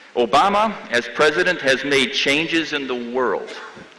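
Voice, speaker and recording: A man with a Midwestern accent speaks at a very slow pace and a fairly high pitch, his intonation lively, amid noticeable background noise. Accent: American Midwest. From US Midwest, Chicago. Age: 70s. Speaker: professor. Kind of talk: commencement speech.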